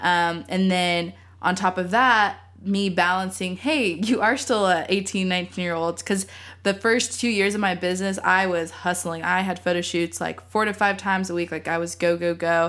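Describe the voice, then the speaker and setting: A woman with an ordinary speaking voice and an American accent, at a moderate pace with fairly even intonation, in a very clean recording with a silent background. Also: medium pitch for a woman. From Texas, Austin. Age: 20s. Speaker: photographer and student. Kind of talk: casual chat.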